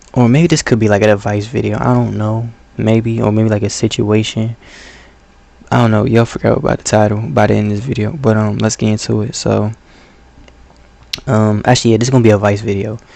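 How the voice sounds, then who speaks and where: Soft-spoken and fairly low in pitch, a man rushes at a very fast pace with fairly even intonation, broken by long, frequent pauses over noticeable background noise. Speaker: gaming channel vlogger. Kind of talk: advice monologue. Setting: late at night at home.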